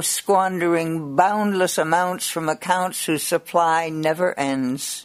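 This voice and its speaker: The speech moves at a very slow pace in a playful tone. Noticeable background noise is present. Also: woman. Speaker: poet. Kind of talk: poetry reading aloud. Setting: radio studio interview. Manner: expressive, rhythmic, lilting sing-song cadence with playful, wry delivery and laughs.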